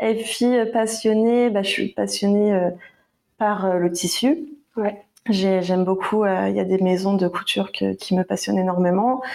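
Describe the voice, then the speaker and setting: A woman's plain, everyday voice at medium pitch, with very even loudness, ordinary pitch variation and a fairly slow pace. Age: 20s. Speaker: barista and proofreader, small business creator. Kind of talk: casual chat.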